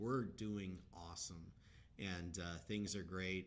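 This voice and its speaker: Audible room echo around a man's voice, pitched very deep and low. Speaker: crypto project leader. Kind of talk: live Q&A stream. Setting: live stream. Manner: monotone.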